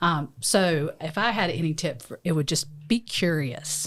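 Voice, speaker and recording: In a very clean recording with a silent background, a woman with a strong Southern US accent speaks at a very deep, low pitch with ordinary pitch variation. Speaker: lawyer and podcast co-host. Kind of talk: casual chat. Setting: studio.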